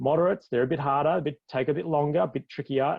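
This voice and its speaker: A man is speaking. He has an Australian accent. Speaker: physiotherapist. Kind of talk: webinar presentation. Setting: live online broadcast. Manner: fast; animated.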